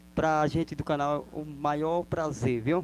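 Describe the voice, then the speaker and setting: A man with a fairly high pitch, speaking at a very slow pace. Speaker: singer and channel host. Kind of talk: interview questions.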